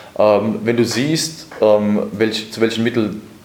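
Noticeable background noise and audible room echo fill the recording. A man speaks very slowly at a medium pitch. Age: 30s. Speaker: boxing manager. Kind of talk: interview.

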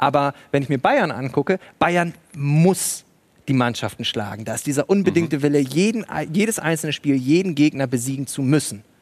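In a plain, everyday voice, a man speaks at a moderate pace with a fairly high pitch and lively intonation. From Bremen, northern Germany. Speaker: stadium announcer and writer. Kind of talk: live TV talk show discussion. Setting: studio at a live event.

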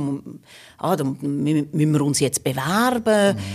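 This woman's voice is very deep and low, with a dark, mellow tone. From northwestern Switzerland (Fricktal, Aargau). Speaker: communication scientist and lecturer. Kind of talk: interview. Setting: studio.

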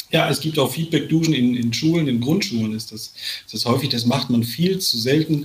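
Fairly quick speech from a man with ordinary pitch variation, over noticeable background noise. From Sauerland, western Germany. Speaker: author, speaker and athlete coach. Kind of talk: casual chat.

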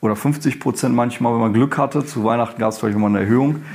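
A man speaks in a normal speaking voice at a medium pitch. His intonation remains fairly even. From Germany, Ruhr area. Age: 30s. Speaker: professor and dean. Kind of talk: interview.

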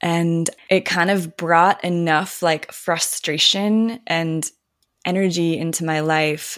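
Speaking very slowly with fairly even intonation, a woman with a fairly low pitch is heard on a very clean recording with a silent background. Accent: American. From Minnesota. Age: 30s. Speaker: spiritual guide. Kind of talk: casual chat.

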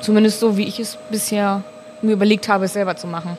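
Over noticeable background noise, a woman with a medium-pitched voice speaks at a very fast pace. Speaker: master brewer. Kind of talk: casual chat. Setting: brewhouse.

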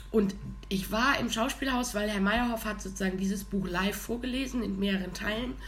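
A woman talks with vocal fry. There is audible echo in the room. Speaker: podcast co-host. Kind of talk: casual chat. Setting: studio.

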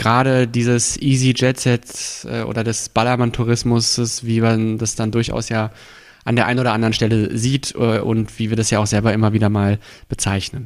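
On a very clean recording with a silent background, a man at medium pitch talks at a moderate pace with fairly even intonation. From Berlin (Friedrichshain-Kreuzberg). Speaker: local politician. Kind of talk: interview. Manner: hesitant with frequent fillers.

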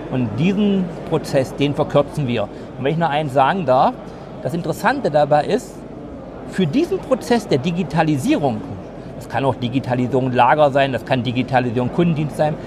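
A man's fairly high, lively voice moves at a moderate pace amid noticeable background noise. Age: 50s. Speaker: master plumber and futurist consultant. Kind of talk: interview. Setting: trade fair.

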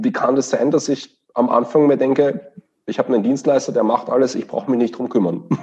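Fairly quick speech from a man with a Viennese accent and a dark, mellow tone. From Austria, Vienna. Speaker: management consultant. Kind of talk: interview.

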